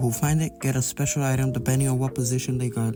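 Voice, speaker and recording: A man talks at a very fast pace with medium pitch. Music plays in the background. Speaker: gaming video essayist. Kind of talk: commentary narration. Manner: stuttering.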